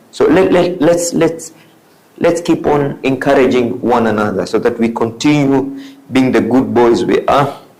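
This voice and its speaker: Fairly high in pitch, a man talks at a fairly slow pace with very even loudness. Background noise is noticeable. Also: ordinary pitch variation. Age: 60s. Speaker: motivational speaker. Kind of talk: motivational talk. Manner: repetitive, emphatic.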